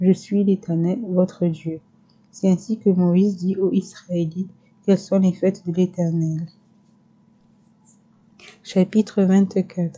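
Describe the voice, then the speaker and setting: A woman with a somewhat breathy, dark and mellow voice at medium pitch speaks in a flat monotone at a very slow pace, with very even loudness and long, frequent pauses. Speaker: ASMR creator. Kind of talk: scripture reading. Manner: whispered.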